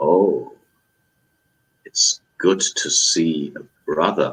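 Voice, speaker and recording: A man uses a put-on character voice at an extremely high pitch. He talks at a very slow pace. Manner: friendly, welcoming.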